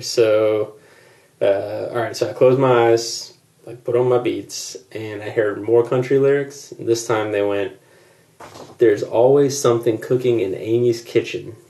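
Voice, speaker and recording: A man speaking at a fairly slow pace. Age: 30s. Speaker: podcast guest reviewer. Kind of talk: reading prepared notes.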